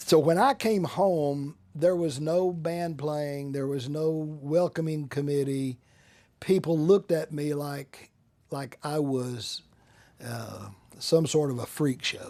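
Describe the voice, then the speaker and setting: An American-accented man at a very slow pace, fairly high in pitch, with a dark, mellow tone and fairly even intonation. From Central Texas. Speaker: Vietnam War veteran, attorney. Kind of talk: interview answer.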